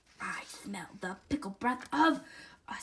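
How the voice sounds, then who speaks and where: A woman's loud, bellowing put-on character voice, high-pitched and at a fairly slow pace. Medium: read story. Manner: roaring, loud.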